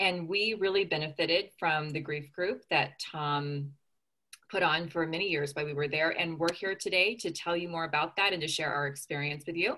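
At a moderate pace, a bright, sharp tone carries fairly even intonation with an American accent. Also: woman, fairly low pitch for a woman. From Southern California. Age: 30s. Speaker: former grief group member. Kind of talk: casual chat. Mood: warm, reflective. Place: home room. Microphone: video call.

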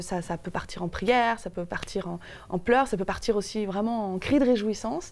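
A woman talks at a moderate pace, her pitch variation ordinary. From Paris, France. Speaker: guest. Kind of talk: TV interview. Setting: TV studio. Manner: hesitant, many fillers. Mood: calm, earnest, reflective. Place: studio. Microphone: lapel.

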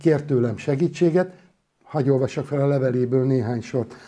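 Somewhat breathy, with a dark, mellow tone, a man speaks in a fairly high pitch at a moderate pace with lively intonation. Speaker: doctor and author; interviewee. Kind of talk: public lecture. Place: studio. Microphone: lapel.

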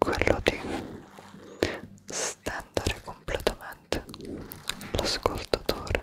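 A man is whispering. He speaks at a very slow pace. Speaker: ASMR creator. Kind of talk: whispered ASMR talk. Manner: close intimate whisper into mic. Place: home room. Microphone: studio mic.

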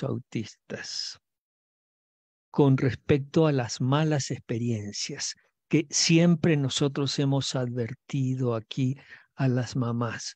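Slow and dark in tone yet mellow, a man's voice comes through with a dry, close sound and no echo.

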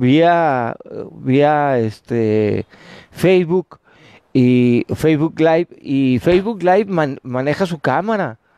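A man's lively, up-and-down delivery, dry with no echo, against a quiet background. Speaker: UFO watcher livestreamer; UFO-watch livestreamer. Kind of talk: live stream chat. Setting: rooftop terrace at night. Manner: halting. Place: open country. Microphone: phone mic; earbuds.

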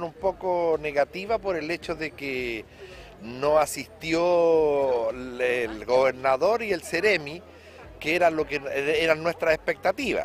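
A man talks at a very slow pace, the sound dry with no echo over light background noise. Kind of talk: interview answer. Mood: measured, mildly critical. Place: street. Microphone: handheld.

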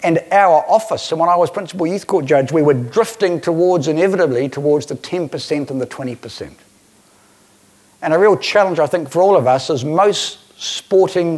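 The man's intonation is lively, and his pace is moderate. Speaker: keynote speaker. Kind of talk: conference presentation. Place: hall. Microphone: lapel.

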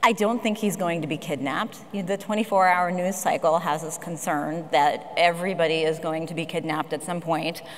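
At a moderate pace with hardly any pauses, a woman speaks in a fairly low pitch with ordinary pitch variation. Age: 50s. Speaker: philanthropic advisor; speaker. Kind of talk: panel discussion. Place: stage. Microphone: lapel.

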